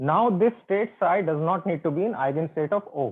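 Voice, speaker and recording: Lively in intonation, a man with a high voice speaks at a fairly slow pace. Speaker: physics professor. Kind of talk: online lecture. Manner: slow, deliberate.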